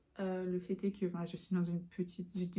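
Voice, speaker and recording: The voice has a dark, mellow tone, somewhat breathy, moving at a fairly quick pace. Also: woman. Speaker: student vlogger. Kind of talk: casual vlog talk. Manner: hesitant, many fillers.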